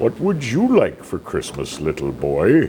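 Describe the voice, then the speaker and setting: A man puts on a character voice and speaks at a fairly slow pace. Clear background noise runs behind him. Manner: jolly, warm.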